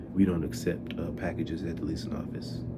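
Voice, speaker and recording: A man speaks softly in a dark, mellow tone that is somewhat breathy. Room echo can be heard around him. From US Midwest, Detroit. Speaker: vlogger, former delivery driver. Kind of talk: casual storytelling vlog. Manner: soft-spoken; animated.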